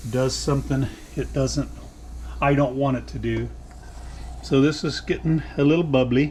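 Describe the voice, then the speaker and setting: A man speaks at a moderate pace. Background noise is noticeable throughout. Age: 60s. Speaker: home cooking vlogger. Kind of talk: cooking tutorial. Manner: casual, chatty.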